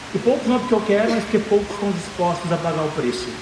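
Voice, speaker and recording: A man's voice carries ordinary pitch variation, with audible room echo and noticeable background noise around it. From Brazil, Goiânia (Goiás). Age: 20s. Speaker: business speaker. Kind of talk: motivational talk. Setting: stage with audience. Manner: animated.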